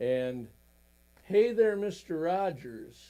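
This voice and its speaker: With an American accent, this dark, mellow voice moves at a very slow pace through very wide pitch swings. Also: man. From US Midwest, Wisconsin. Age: 70s. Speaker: songwriter. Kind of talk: casual talk-show interview.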